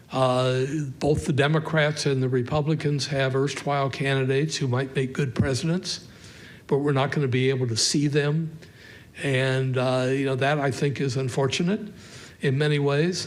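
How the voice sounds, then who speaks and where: Audible room echo surrounds a man whose fairly high voice keeps very even loudness and fairly even intonation at a moderate pace. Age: 80s+. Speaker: professor. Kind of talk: public lecture with Q&A. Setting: stage with audience. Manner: halting, many fillers.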